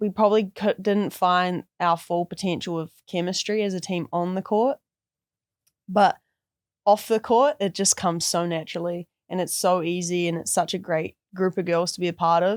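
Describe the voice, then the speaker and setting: A woman speaks with a New Zealand accent at medium pitch and a moderate pace, her intonation fairly even. The recording is very clean and dry, close-miked with no echo and a silent background. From New Zealand, Christchurch. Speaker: college basketball player. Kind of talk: casual interview.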